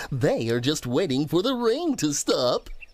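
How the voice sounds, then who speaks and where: A put-on character voice at a middle pitch comes through at a moderate pace. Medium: read story. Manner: warm, cheerful, reassuring.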